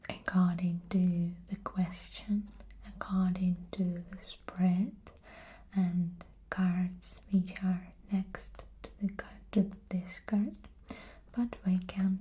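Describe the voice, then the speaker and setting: Soft-spoken and somewhat breathy, a woman speaks very slowly at a medium pitch in a flat monotone, with big swings in loudness. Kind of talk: soft-spoken tarot card explanation, show and tell.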